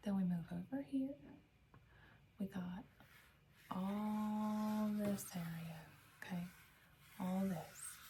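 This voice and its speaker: A woman talks with an American accent. Her tone is gentle and somewhat breathy. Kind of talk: ASMR role-play, library information desk. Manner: gentle, soft-spoken, slow, caring.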